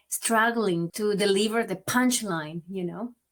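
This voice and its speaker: A woman speaks with a strong Venezuelan accent at a fairly high pitch. Her pace is fairly slow and her pitch varies in an ordinary way. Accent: marked Venezuelan Spanish. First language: Spanish. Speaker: migrant advocate and author. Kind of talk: interview. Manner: occasional stammered repeats.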